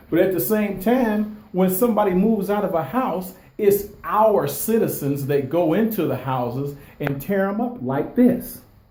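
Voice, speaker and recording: Loud and with lively intonation, a man speaks at a moderate pace and a high pitch, with audible room echo and noticeable background noise. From Detroit, west side. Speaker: video blogger. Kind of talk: walkthrough vlog. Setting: inside vacant house.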